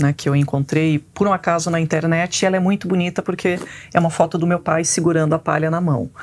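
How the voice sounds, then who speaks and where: Over light background noise, a voice moves at a very fast pace with fairly even intonation and very even loudness. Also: woman, fairly low pitch for a woman. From Brazil, Paraná. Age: 40s. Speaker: biologist; guest. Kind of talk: interview. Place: studio. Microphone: lapel.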